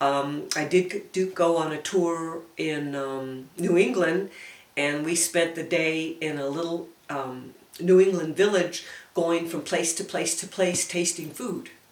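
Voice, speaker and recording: A woman with an American accent speaks at a fairly low pitch and a fairly slow pace, with fairly even intonation. Noticeable background noise is present. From El Paso, Texas. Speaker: oral history interviewee. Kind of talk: oral history interview. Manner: reminiscing, hesitant.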